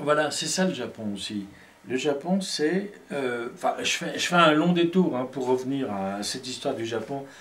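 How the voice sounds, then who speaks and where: Amid audible room echo and noticeable background noise, a man with a fairly high voice and lively intonation talks at a fairly slow pace, pausing long and often. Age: 60s. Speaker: poet and filmmaker. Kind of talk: casual conversation. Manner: halting, many hesitations.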